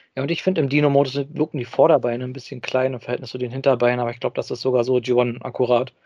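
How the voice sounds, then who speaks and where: This man's dark, mellow tone sits at medium pitch, delivered at a very fast pace with monotone, flat intonation. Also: dry, close sound with no echo. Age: 30s. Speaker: podcast co-host, toy news reporter. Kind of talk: casual chat.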